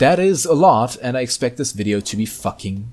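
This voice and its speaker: With a German accent, a man talks using lively intonation. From Germany. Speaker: YouTuber, drama commentator. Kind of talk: commentary video narration. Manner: casual.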